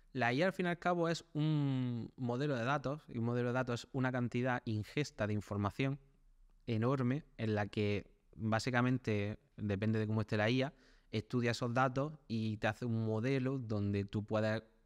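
Over a quiet background, a man with an ordinary speaking voice talks at a moderate pace and medium pitch, with ordinary pitch variation and very even loudness. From Spain, small town. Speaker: web developer. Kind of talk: interview.

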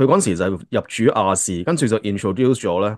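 Over a quiet background, a man talks at a moderate pace with fairly low pitch, ordinary pitch variation and a plain, everyday voice. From Hong Kong. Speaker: podcast host. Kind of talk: casual chat. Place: home room. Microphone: video call.

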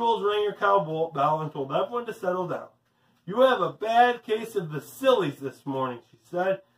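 The voice is doing plain reading aloud, and its intonation is lively.

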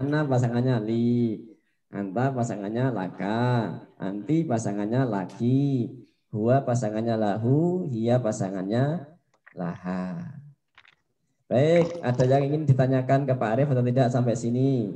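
Fairly slow male speech in a dark, mellow tone. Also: ordinary pitch variation. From Indonesia. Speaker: primary school Arabic teacher. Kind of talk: lesson for children. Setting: classroom. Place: studio. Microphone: handheld.

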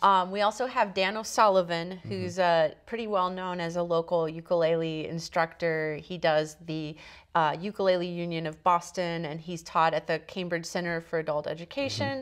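A woman talks at a moderate pace with hardly any pauses, her voice fairly low and her pitch varying in an ordinary way. The background is quiet. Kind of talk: interview answer. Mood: warm, enthusiastic. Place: studio. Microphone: lapel.

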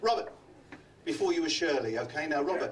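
Over light background noise, someone speaks very fast in a Cockney accent. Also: man. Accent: London Cockney. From London. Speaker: comedy magician. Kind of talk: stand-up. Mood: jovial, teasing. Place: stage.

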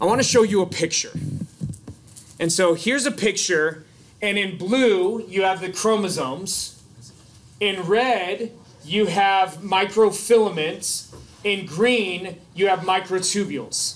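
Speaking at a fairly slow pace with long, frequent pauses, a man uses a high pitch and ordinary pitch variation. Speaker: biology instructor. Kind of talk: lecture. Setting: classroom. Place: classroom.

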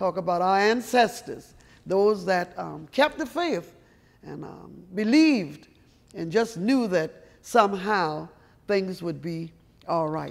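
Speaking very slowly in an American accent, a woman uses lively intonation and big swings in loudness. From South Carolina. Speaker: storyteller. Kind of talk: guided art tour talk. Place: hall.

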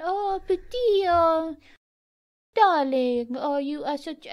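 This is a put-on character voice, female-sounding and squeaky, with a French accent as part of the act. It sits at an extremely high pitch and moves at a very slow pace.

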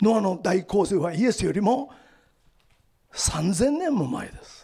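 A man speaks at a fairly slow pace with very wide pitch swings. The background is quiet. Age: 70s. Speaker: lecturer on the Bible and world affairs; lecturer on the Bible. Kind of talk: lecture. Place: hall. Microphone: handheld.

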